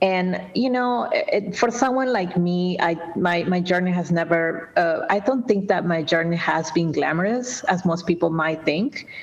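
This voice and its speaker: Against noticeable background noise, a woman with a Spanish accent speaks at a fairly slow pace in a fairly low pitch with ordinary pitch variation. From Peru, Lima. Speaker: nonprofit executive director. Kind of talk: interview. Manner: halting.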